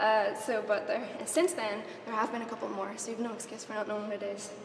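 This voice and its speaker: Talking at a very fast pace, a woman with a Northern Irish accent uses a fairly high pitch with ordinary pitch variation. Audible room echo and noticeable background noise surround her voice. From Northern Ireland, County Down. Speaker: game art director. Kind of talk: conference talk.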